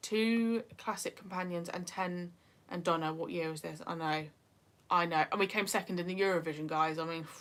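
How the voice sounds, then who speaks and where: With a northeast English accent, a woman speaks at a moderate pace with a fairly low pitch. Her intonation is fairly even, and the recording is very clean with a silent background. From northeast England. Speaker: YouTuber. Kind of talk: livestream chat. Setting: livestream.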